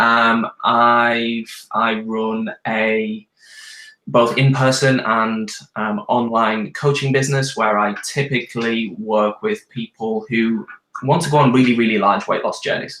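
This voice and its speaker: Speaking at a very slow pace, a man with a British accent uses a medium pitch and fairly even intonation. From UK. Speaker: nutritionist and weight loss coach. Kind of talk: live Q&A video chat. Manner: hesitant, many ums.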